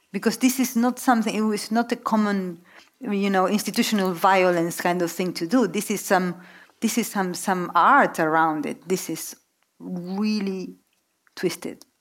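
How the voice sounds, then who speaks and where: On a very clean recording with a silent background, a woman with a Spanish accent speaks at a moderate pace and medium pitch with ordinary pitch variation. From Argentina. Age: 40s. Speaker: novelist. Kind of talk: onstage literary conversation. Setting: stage with audience.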